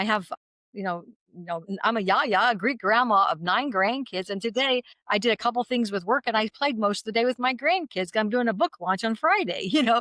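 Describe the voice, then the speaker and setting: Heard dry and close with no echo, a woman with a fairly high pitch and a bright, sharp tone talks at a fairly quick pace with lively intonation. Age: 60s. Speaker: naturopathic doctor and direct sales entrepreneur. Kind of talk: interview conversation. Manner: animated.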